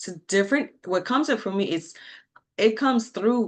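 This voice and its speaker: Against a quiet background, a woman with a French accent speaks with lively intonation. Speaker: mortgage lender and energy practitioner. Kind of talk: solo livestream talk. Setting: live video stream. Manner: halting, searching for words.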